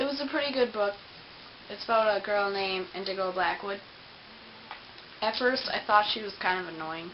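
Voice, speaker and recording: Over noticeable background noise and audible room echo, a woman of medium pitch talks at a moderate pace with ordinary pitch variation. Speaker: book vlogger. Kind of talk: casual book review vlog. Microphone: poor camera recording.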